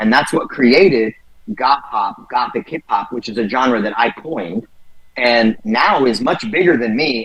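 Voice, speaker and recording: With an American accent, a man at medium pitch talks at a moderate pace in an animated tone with lively intonation, over noticeable background noise. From San Jose, California (Bay Area). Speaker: rapper. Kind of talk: interview.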